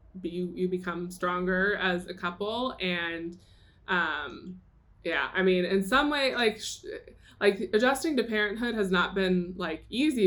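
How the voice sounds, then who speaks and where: A woman with an American accent and medium pitch speaks with ordinary pitch variation over noticeable background noise. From Atlanta, US South. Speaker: guest on a podcast. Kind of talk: casual chat. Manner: hesitant with many fillers.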